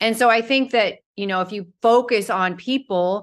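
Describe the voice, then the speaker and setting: A woman talks at a fairly slow pace in a normal speaking voice, her pitch fairly high with ordinary variation. The background is quiet. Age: 50s. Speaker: model and motivational speaker. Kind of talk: casual interview.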